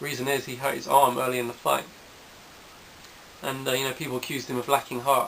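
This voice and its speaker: A man talks at a very fast pace with a medium pitch. Noticeable background noise runs underneath. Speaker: boxing video blogger. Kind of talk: casual monologue. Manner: halting, many fillers.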